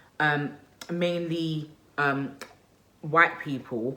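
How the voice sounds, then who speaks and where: She speaks with a Nigerian accent at a fairly low pitch. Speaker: lifestyle vlogger and mother. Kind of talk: casual vlog monologue. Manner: animated, conversational.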